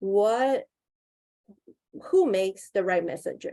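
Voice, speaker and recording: Her tone dark and mellow, a woman speaks in a Mandarin accent at a moderate pace with lively intonation. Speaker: union campaigner. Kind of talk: webinar panel presentation.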